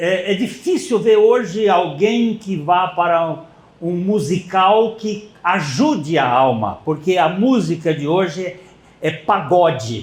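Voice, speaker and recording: A man with a high pitch talks at a very slow pace, his intonation lively, over audible room echo. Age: 80s+. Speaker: pastor. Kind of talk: sermon.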